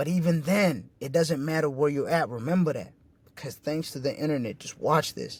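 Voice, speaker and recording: A man talks with a fairly high pitch, his pitch varying in an ordinary way, at a moderate pace. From refugee camp, moved to US in 2004. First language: not English. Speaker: independent music artist and entrepreneur. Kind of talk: motivational presentation. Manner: animated; casual, profane.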